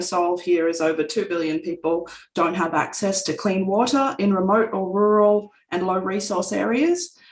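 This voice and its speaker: Here a woman talks with an Australian accent at a moderate pace. Her medium pitch shows ordinary variation. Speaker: company representative presenting technology. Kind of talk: webinar presentation.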